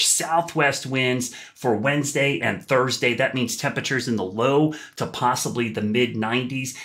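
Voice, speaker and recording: A man speaks with an American accent in a bright, sharp tone. His pitch variation is ordinary, and the background is quiet. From US. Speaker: TV meteorologist. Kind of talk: weather forecast. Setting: video forecast vlog, on camera. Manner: clear, upbeat, fluent.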